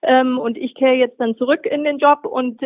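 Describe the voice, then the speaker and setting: This woman has a high voice, talks at a moderate pace, and keeps her intonation fairly even. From Swabia, southern Germany. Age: 40s. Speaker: magazine editor-in-chief. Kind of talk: interview.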